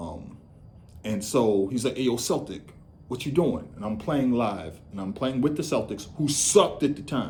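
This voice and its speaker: An animated man with an American accent, medium pitch, very wide pitch swings, vocal fry, big swings in loudness and a moderate pace. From Boston, US. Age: 50s. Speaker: podcaster and journalist. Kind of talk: casual monologue. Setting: home living room.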